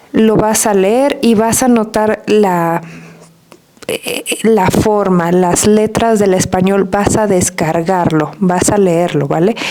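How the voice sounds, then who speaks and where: A soft-spoken woman with a Mexican accent talks at a very slow pace, her medium-pitched voice very even in loudness. Noticeable background noise runs behind her. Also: ordinary pitch variation. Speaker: Spanish teacher. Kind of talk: podcast monologue.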